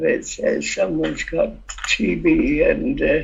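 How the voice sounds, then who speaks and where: The speaker is a man. He talks with a Yorkshire accent. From Yorkshire, northern England. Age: 90s. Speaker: campaigner. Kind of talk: interview testimony. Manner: halting, many hesitations.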